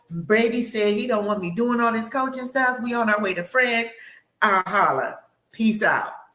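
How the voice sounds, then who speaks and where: A woman speaks in an animated tone at a fairly high pitch, with ordinary pitch variation and a moderate pace. Audible echo fills the room around her. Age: 60s. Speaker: life coach. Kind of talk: panel discussion.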